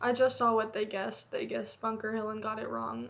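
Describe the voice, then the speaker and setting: A woman with an American accent at a fairly quick pace, over noticeable background noise. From United States. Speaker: YouTuber reacting to a video. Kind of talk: casual reaction commentary. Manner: casual, halting.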